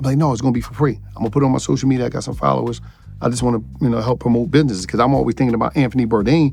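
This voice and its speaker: A man speaks very fast, with noticeable background noise in the recording. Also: medium pitch for a man, ordinary pitch variation. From Philadelphia, Pennsylvania. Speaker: podcaster and entrepreneur. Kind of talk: interview storytelling. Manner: animated.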